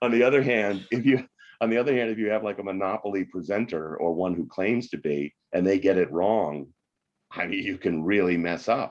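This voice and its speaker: Fairly quick and fairly low-pitched, a man talks in a plain, everyday voice with ordinary pitch variation. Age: 60s. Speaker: economics professor and author. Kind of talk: podcast interview.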